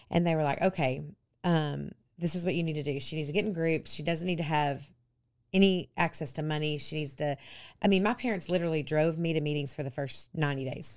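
Talking at a very fast pace, a woman with a Texan accent has a very deep, low pitch and ordinary pitch variation. The recording is very clean, with a silent background. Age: 50s. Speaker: pastor's wife, recovered addict. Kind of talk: interview, personal testimony.

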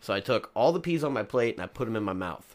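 The speaker uses an American accent at a moderate pace. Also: man. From Kentucky. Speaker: recurring podcast guest. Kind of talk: casual comedic chat.

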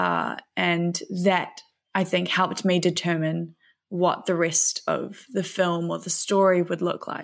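A woman's fairly low voice with a New Zealand accent, very slow pace and monotone, flat intonation. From New Zealand, West Auckland. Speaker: filmmaker and thru-hiker. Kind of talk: interview conversation.

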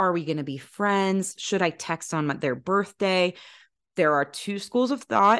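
Against a quiet background, a woman speaks at a moderate pace in an enthusiastic, animated tone. Her pitch varies in an ordinary way. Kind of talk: casual banter.

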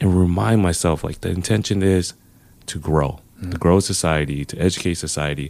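This man speaks with an American accent at a moderate pace. His pitch is very deep and low, with ordinary variation. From Los Angeles. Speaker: CrossFit coach, formerly incarcerated. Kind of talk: casual interview.

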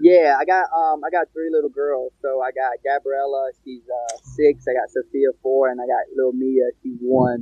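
With a plain, everyday voice, a man with an American accent and a fairly high pitch talks at a moderate pace with hardly any pauses, fairly even intonation and big swings in loudness. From North Carolina, Pembroke (Lumbee). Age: 20s. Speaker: mixed martial artist. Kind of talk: interview. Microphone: audio cutting out.

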